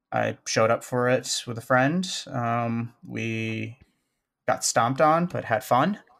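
In a Chicago accent, a man speaks at a medium pitch with ordinary variation on a very clean recording with a silent background. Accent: Chicago American. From US Midwest, Chicago. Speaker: gaming community organizer. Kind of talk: casual interview.

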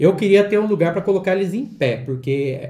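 A man talks very fast in a somewhat breathy voice with a dark, mellow tone and ordinary pitch variation, with audible room echo. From Valinhos, São Paulo state, Brazil. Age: 40s. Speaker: collector and YouTuber. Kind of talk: casual chat.

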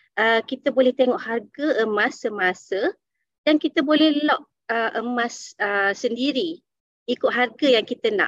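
With a dry, close sound and no echo, a woman speaks fairly slowly in a high voice with ordinary pitch variation. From Malaysia, Dungun, Terengganu. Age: 30s. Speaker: gold dealer sharing success story. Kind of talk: online presentation. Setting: Zoom webinar. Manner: halting with many fillers.

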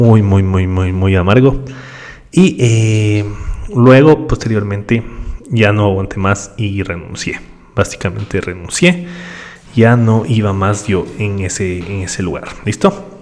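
Noticeable background noise sits behind a man speaking at a very slow pace. His pitch is fairly low, with ordinary variation. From Ecuador. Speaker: podcast host, digital marketer. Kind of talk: solo podcast monologue. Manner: conversational with frequent fillers and repetitions.

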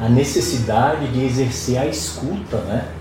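Medium-pitched male voice at a moderate pace, with audible room echo and noticeable background noise. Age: 60s. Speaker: podcast host. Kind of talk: interview.

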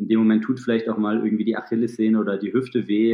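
This is a man speaking. His pitch is fairly low. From Thuringia, Germany. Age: 30s. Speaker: ultrarunner and sports therapist. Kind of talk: podcast interview.

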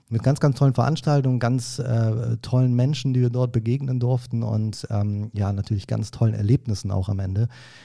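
A man's dark, mellow, somewhat breathy voice at medium pitch, moderate in pace with hardly any pauses and fairly even intonation, on a very clean recording with a silent background. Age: 30s. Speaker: event manager. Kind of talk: casual chat. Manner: hesitant, many filler sounds.

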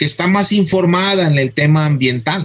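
A high-pitched man with lively intonation amid noticeable background noise. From Mexico, Guadalajara (Jalisco). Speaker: botany professor and researcher. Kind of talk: radio interview. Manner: halting, repeats words.

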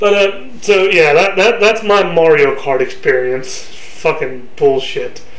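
A man with a high voice sounds animated, his loudness kept very even. Noticeable background noise runs behind him. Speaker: podcast host. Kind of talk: heated, profane banter. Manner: loud, shouty, animated; fast, laughing, insult-trading.

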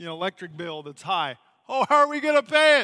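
A man's raised, projected voice, bright and sharp in tone, at a fairly quick pace in a very clean recording with a silent background. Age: 40s. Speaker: missionary. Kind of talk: sermon.

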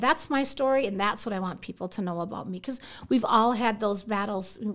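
A woman speaks with an American accent in an animated tone. Her pitch is fairly high, and her pace is fairly quick. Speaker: bank branch manager. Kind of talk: interview testimony.

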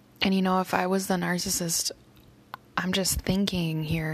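A woman speaks in a fairly low pitch with monotone, flat intonation, and noticeable background noise can be heard. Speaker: vlogger and teacher. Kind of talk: personal vlog update.

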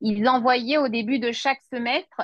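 A woman's unremarkable speaking voice, fairly high in pitch, at a moderate pace, with a dry, close sound and no echo. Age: 30s. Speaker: notary assistant and law student. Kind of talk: interview testimony.

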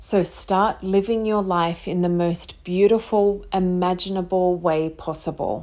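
A woman with an ordinary speaking voice and fairly low pitch talks at a fairly slow pace, her intonation fairly even. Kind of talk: motivational pep talk. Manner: earnest, uplifting, coaxing, direct address to listener; warm, encouraging, gently paced with pauses.

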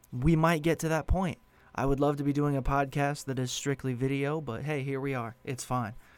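A man speaks in a plain, everyday voice. His pitch is fairly high and his intonation fairly even. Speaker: podcast host and narrator. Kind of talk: horror story narration, read aloud. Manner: hushed, slow and suspenseful, building dread; intimate first-person storytelling, eerie.

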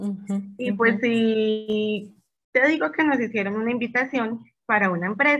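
A woman speaks at a moderate pace in a fairly high pitch, with ordinary pitch variation. Music plays in the background. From Colombia, Medellín. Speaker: small bakery business owner. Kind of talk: casual interview.

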